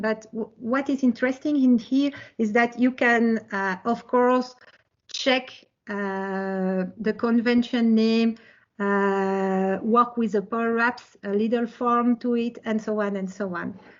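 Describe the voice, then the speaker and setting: A woman with a French accent, fairly even intonation and a very slow pace. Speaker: tech presenter. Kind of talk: technical presentation with live demo.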